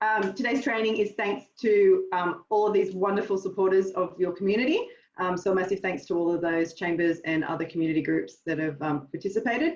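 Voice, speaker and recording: A woman with an Australian accent, medium in pitch with ordinary pitch variation, talking at a fairly quick pace with hardly any pauses. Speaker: marketing trainer. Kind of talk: webinar workshop. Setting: video call. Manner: fast.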